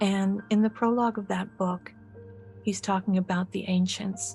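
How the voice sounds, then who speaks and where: With music in the background, a woman of medium pitch speaks in a calm, soothing tone with monotone, flat intonation. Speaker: medical hypnotist and author. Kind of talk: guided hypnosis session. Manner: calm, soothing, slow.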